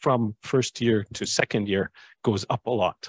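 A man's dry, close voice with no echo over a quiet background. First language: English (speaking Japanese). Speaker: university lecturer. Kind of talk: presentation at open campus. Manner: halting with many self-repeats; mixes English and Japanese.

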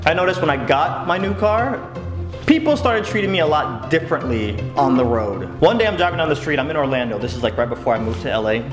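Music plays in the background as a man talks at a very fast pace. His pitch swings very widely. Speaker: vlogger. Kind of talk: storytelling vlog. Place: home room.

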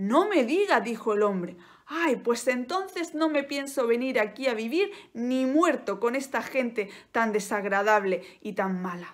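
Over a quiet background, a speaker with a Spanish accent talks fairly slowly in a gentle, dramatic tone, the pitch swinging very widely. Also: woman, high pitch for a woman. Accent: Peninsular Spanish. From Spain. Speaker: Spanish teacher and YouTuber. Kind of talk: bedtime-style storytelling, slow and soothing, told as a tale; casual educational monologue. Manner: slow, gentle, clearly articulated, with dramatic pauses and a warm, coaxing tone. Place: home room. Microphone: phone near.

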